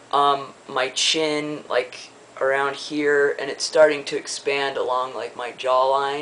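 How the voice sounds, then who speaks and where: Fairly high for a man, this voice stays monotone and flat at a fairly slow pace. Noticeable background noise runs underneath. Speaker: video blogger. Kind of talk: casual vlog update. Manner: halting with many fillers.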